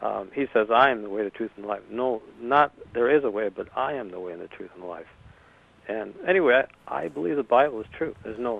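A man with an unremarkable speaking voice talks at a fairly quick pace, his medium pitch carried by lively intonation. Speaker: caller. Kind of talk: call-in comment. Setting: phone call.

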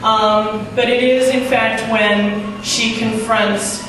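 The speech moves at a very slow pace. Strong room echo and noticeable background noise are present. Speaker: stand-up comedian. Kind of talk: stand-up comedy set with an absurd celebrity story and acted-out sketch voices. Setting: stage with audience, live comedy show. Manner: halting, with frequent ums and throat clearing. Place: stage.

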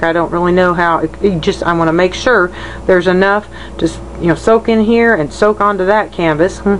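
Speaking at a fairly quick pace, a woman uses a fairly low pitch and fairly even intonation. Noticeable background noise runs underneath. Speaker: painter. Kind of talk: tutorial. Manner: halting.

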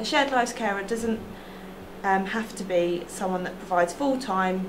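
At a moderate pace, a woman speaks with ordinary pitch variation amid noticeable background noise. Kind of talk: interview answer. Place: office.

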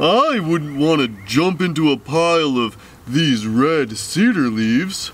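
Over clear background noise, a man does a cartoonish character voice at a fairly slow pace. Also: fairly high pitch for a man. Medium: puppet. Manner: patient, friendly.

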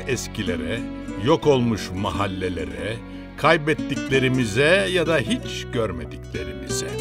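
A man talks very slowly while music plays in the background. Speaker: documentary narrator. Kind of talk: biographical documentary narration.

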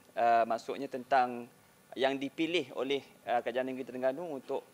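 Moderate pace and fairly even intonation from a man. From Malaysia. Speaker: parliamentary staff, audience questioner; questioner. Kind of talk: audience question. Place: hall.

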